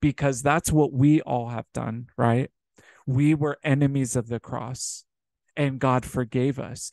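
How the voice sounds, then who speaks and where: A man's medium-pitched, warm voice, monotone and flat, dry with no echo over a quiet background. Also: fairly slow pace. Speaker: preacher. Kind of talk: sermon. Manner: earnest, exhorting, repeatedly addressing listeners as brothers and sisters; warm and pastoral. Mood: earnest, exhorting. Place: home room. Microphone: webcam.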